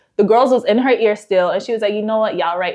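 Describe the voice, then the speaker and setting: Animated and very fast, a woman talks in a fairly high pitch with ordinary pitch variation. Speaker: YouTuber reality TV commentator. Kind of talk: casual commentary vlog.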